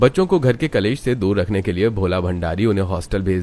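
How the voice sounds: A man with a low pitch and a slightly mellow tone talks at a fairly quick pace.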